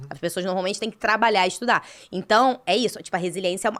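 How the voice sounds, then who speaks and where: The speaker is a woman. Her pace is very fast. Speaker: podcast co-host and entrepreneur. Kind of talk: casual chat.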